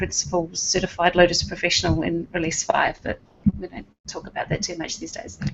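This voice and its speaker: A woman talks with a strong New Zealand accent. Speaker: IT business owner. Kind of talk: casual panel chat.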